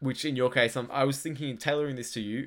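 A man with an Australian accent speaks at a medium pitch. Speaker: podcast co-host. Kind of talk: casual chat. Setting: online call.

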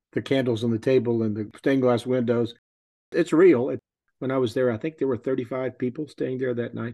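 A man in a Texan accent talks at a fairly quick pace. His medium pitch carries fairly even intonation. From Texas. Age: 70s. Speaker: pilgrim. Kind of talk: casual interview.

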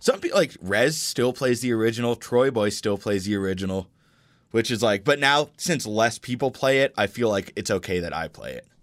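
A man speaks at a moderate pace with an American accent. His pitch is medium, and he has an unremarkable speaking voice. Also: ordinary pitch variation. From Colorado, US. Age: 20s. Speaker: electronic music producer. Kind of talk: casual chat.

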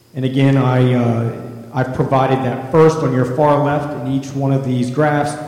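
A man's medium-pitched voice at a moderate pace, monotone and flat, with noticeable background noise. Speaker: school district assessment administrator. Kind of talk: presentation. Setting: board meeting.

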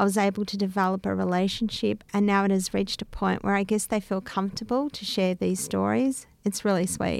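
A woman with an Australian accent speaks at a fairly quick pace. She hardly pauses, and the recording is very clean with a silent background. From Melbourne, Australia (inner north, Greek Australian). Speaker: bicultural liaison officer.

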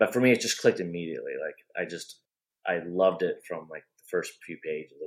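In an American accent, a man speaks at a fairly quick pace. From US Midwest, Iowa. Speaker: author and comic writer. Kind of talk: casual chat.

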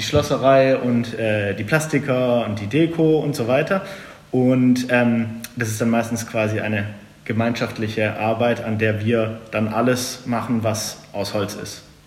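Noticeable background noise and audible room echo surround a man's voice. He speaks fairly slowly at a medium pitch, with ordinary pitch variation. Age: 30s. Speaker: carpenter. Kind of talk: interview.

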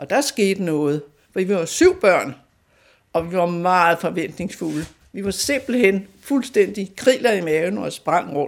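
Very slowly, a woman speaks at a medium pitch. The recording is very clean, with a silent background. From North Zealand, Denmark (near Fredensborg). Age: 80s+. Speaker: local history storyteller. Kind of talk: personal reminiscence interview.

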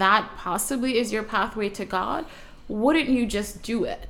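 In an American accent, a woman talks at a moderate pace with a fairly high pitch and an ordinary speaking voice. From US Northeast (Brooklyn, New York). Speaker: author and Islamic student. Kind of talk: casual interview chat.

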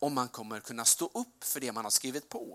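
A man talks at a moderate pace with vocal fry. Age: 40s. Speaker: preacher. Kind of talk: sermon.

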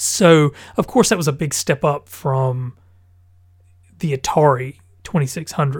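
A man's fairly high, somewhat breathy voice at a fairly slow pace, with ordinary pitch variation and long, frequent pauses, on a very clean recording with a silent background. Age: 30s. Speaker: gaming podcast host. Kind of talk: casual solo podcast monologue. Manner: hesitant, many fillers.

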